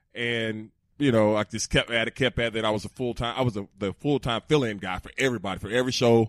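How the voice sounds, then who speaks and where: A man with a Southern US accent at medium pitch and very fast pace, on a very clean recording with a silent background and a dry, close sound with no echo. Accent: Southern US (Georgia). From Georgia, US South. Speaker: former NFL player. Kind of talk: casual chat. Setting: studio. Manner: animated.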